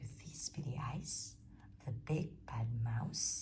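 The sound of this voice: Slow, whispered speech. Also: woman.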